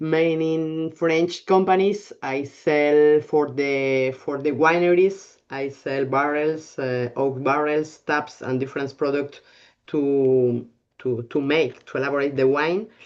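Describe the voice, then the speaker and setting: The speech comes at a very slow pace in a Spanish accent. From Spain, Bilbao. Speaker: winemaker. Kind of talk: casual chat. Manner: halting.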